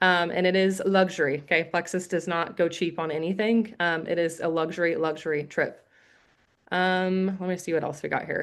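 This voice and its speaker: A woman talks with a fairly low pitch and fairly even intonation. The background is quiet. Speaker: network marketing recruiter. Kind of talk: sales pitch. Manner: fast.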